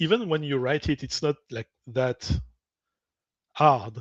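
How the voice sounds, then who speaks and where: With a French accent and lively intonation, a man speaks at a fairly slow pace in a fairly high, bright, sharp voice, the sound dry and close with no echo against a quiet background. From French-speaking. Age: 40s. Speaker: podcast guest. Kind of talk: casual chat.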